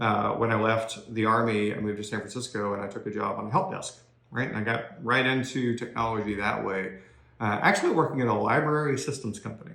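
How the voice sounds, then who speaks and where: A man with a Southern US accent at medium pitch and a very fast pace, with ordinary pitch variation, noticeable background noise and audible room echo. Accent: non-Maine accent, Southern. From US South, Georgia (outside Atlanta). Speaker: corporate technology executive, career speaker. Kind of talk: career talk to young people (recorded video). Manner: conversational with many fillers (uh, um).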